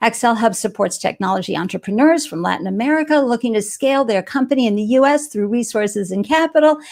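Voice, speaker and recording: A woman with a Boston accent, fairly high in pitch, animated in tone, with lively intonation, a very fast pace and hardly any pauses. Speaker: live show host. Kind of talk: live interview show.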